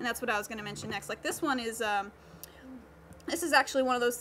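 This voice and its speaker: A woman's high voice, its pitch rising and falling in an ordinary way, comes through clear background noise. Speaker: workshop instructor. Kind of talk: tutorial. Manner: fast.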